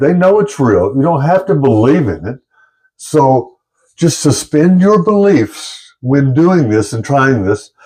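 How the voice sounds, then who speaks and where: A man's fairly high-pitched voice, dark and mellow in tone, with lively intonation. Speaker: YouTuber. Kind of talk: monologue to camera. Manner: halting, stuttering.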